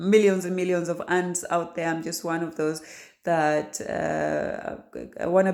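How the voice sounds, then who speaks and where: A fairly low female voice with fairly even intonation. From Kenya. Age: 40s. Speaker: aspiring author. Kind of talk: casual talk to camera. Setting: home kitchen. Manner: hesitant, many fillers and repetitions.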